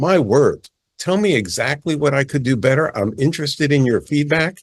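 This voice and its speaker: Somewhat breathy, a man with an American accent speaks at a moderate pace and a fairly high pitch. His intonation is lively and his loudness very even. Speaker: palmist, author. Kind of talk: interview. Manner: animated.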